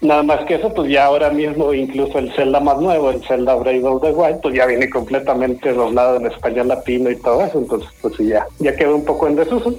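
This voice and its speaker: Amid noticeable background noise, the speech moves at a fairly quick pace with very even loudness. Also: man, fairly high pitch for a man, ordinary pitch variation, hardly any pauses. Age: 40s. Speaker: podcast host. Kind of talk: radio interview.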